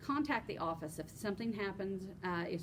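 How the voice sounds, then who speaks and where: The speaker sounds somewhat breathy and moves along at a fairly quick pace. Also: woman. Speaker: union chapter officer. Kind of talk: informational podcast chat. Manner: fast.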